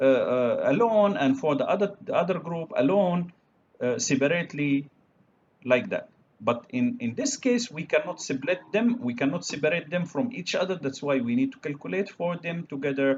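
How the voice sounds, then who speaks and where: Speaking at a moderate pace with an Arabic accent, a man uses a high pitch with very wide pitch swings. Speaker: university lecturer. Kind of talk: lecture. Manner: halting, many fillers.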